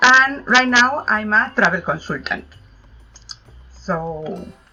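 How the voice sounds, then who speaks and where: A woman speaks with a Spanish accent while music plays in the background. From Spain, Madrid. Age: 50s. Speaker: travel consultant. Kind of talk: interview.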